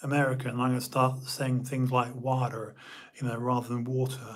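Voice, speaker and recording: The speaker has a British accent. Audible room echo surrounds the voice. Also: man. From United Kingdom. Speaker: live stream host. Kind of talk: casual live stream monologue. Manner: halting, many fillers.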